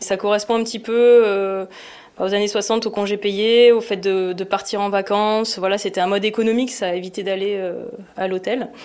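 Her pitch sits in the medium range. This woman talks in a monotone, flat intonation. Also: moderate pace. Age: 40s. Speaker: product manager at a sports retailer. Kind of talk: podcast interview.

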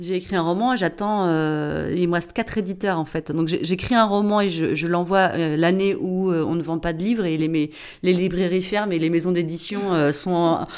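Heard on a very clean recording with a silent background, a woman with an unremarkable speaking voice talks at a moderate pace and a fairly low pitch, her intonation fairly even. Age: 40s. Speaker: social worker and author. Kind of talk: casual interview conversation.

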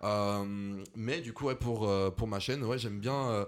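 This man's pitch sits fairly low. His intonation stays fairly even. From France, Lyon. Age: 20s. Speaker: content creator. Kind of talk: casual chat.

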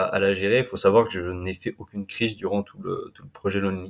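Fairly even intonation marks this man's fairly low-pitched voice at a moderate pace. The recording is very clean, with a silent background. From western France, Vendée (Atlantic coast). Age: 20s. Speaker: explorer and adventurer. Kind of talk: interview storytelling. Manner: halting, many repetitions and fillers.

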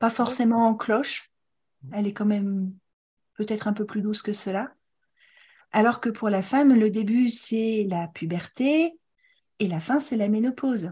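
Against a quiet background, a woman speaks at a fairly slow pace with long, frequent pauses. Her fairly high pitch comes with a dark, mellow tone and is somewhat breathy. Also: ordinary pitch variation. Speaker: podcast host, fertility educator and author. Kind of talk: interview. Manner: animated.

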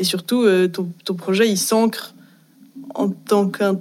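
A woman speaks at a fairly slow pace in a medium pitch. Her intonation is flat and monotone. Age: 20s. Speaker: fashion design student. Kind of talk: casual panel discussion.

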